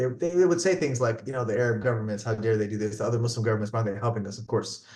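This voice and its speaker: With a New Jersey accent, a man speaks very fast in an animated tone, somewhat breathy and at medium pitch, with audible room echo. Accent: American, New Jersey. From New Jersey, US. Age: 30s. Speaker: physician. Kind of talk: interview testimony. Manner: animated, repetitive false starts.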